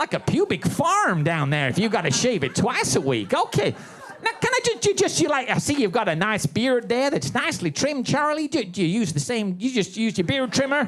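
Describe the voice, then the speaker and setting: Over noticeable background noise, a man with an extremely high pitch talks at a fairly quick pace, his pitch swinging very widely while his loudness stays very even. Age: 70s. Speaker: stand-up comedian. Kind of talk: stand-up. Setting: stage with audience. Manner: animated.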